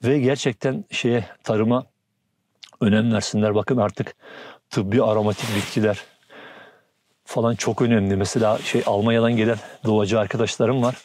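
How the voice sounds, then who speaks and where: With monotone, flat intonation and very even loudness, a man speaks at a moderate pace and medium pitch, leaving long, frequent pauses. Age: 60s. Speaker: farmer. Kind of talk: casual interview.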